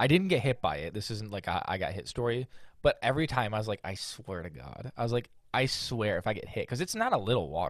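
Very fast and full of very wide pitch swings, a man's voice shows vocal fry in a very clean recording with a silent background. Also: medium pitch for a man. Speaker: podcast co-host. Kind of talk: casual chat.

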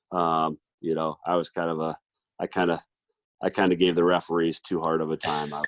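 With a Midwestern American accent, a man speaks at a very deep, low pitch in a flat monotone, going at a fairly quick pace broken by long, frequent pauses. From Iowa, Mason City. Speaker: college basketball coach. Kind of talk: casual interview.

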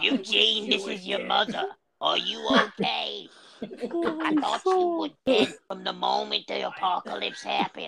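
Here a man uses a put-on character voice. He speaks at a fairly slow pace. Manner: worried, concerned.

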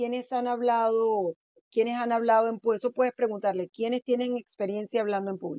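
In a dry, close recording with no echo and a quiet background, a woman speaks in a dark, mellow tone with ordinary pitch variation. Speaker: title company representative. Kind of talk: expert advice in interview. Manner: animated.

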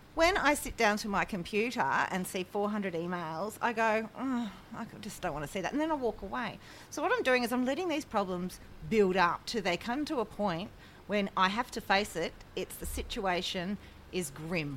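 A woman speaks at a moderate pace with an Australian accent. Her pitch sits in the middle range, and her intonation is lively. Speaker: podcast co-host. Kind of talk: casual chat.

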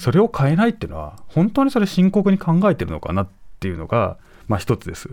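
A man talking at a very fast pace, his loudness swinging widely. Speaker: professor and journalist. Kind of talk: news commentary. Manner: measured, conversational.

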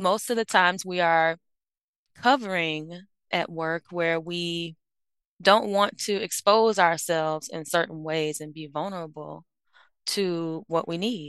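With an American accent, this is an unremarkable speaking voice at a fairly slow pace with ordinary pitch variation, recorded dry and close with no echo against a quiet background. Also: woman. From Miami, Florida. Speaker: organizational psychologist. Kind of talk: interview.

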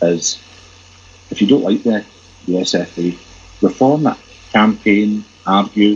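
A fairly slow delivery in a Glaswegian accent, over noticeable background noise. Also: man. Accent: Glaswegian Scottish. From Glasgow, Scotland. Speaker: football fan site editor. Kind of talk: casual chat.

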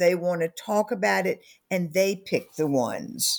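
A woman with a Southern US accent, medium pitch, lively intonation and a fairly slow pace. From US South. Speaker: author and company founder. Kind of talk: interview about her book.

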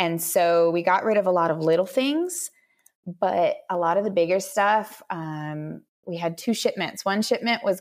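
A normal speaking voice from a woman at medium pitch, with an American accent and ordinary pitch variation. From Minnesota. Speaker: mother and former engineer. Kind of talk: casual interview.

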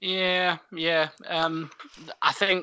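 A man talks in a Scottish accent. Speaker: podcast co-host. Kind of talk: casual chat.

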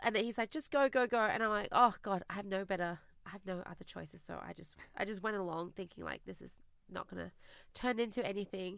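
A woman with an Australian accent at a very fast pace, medium in pitch, with ordinary pitch variation and big swings in loudness, on a very clean recording against a silent background. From Australia (immigrated from China at eight). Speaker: business founder and CEO. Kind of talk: interview.

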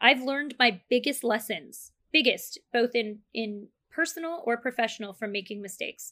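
A woman speaks at a high pitch in a bright, sharp tone with lively intonation. The recording is very clean with a silent background. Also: moderate pace. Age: 40s. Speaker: marketing agency CEO. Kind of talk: casual interview.

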